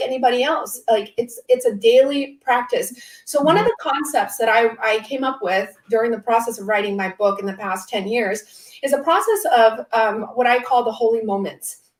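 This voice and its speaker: A woman with an American accent, high in pitch, at a moderate pace with ordinary pitch variation. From US West Coast, Orange County, California. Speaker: author. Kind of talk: panel interview.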